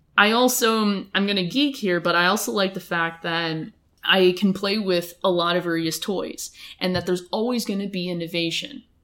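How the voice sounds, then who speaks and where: A woman with an American accent speaks at a moderate pace in a plain, everyday voice, her medium pitch showing ordinary variation. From Los Angeles County. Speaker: dentist. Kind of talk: casual interview.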